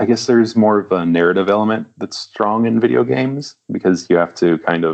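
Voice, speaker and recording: A man with an American accent uses a normal speaking voice, fairly low in pitch with ordinary pitch variation. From US South, small-town Louisiana. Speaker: comic book artist. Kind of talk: interview.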